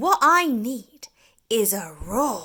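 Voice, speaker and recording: A squeaky, put-on character voice from a woman, fairly high in pitch, with very wide pitch swings. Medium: read story. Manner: timid, squeaky.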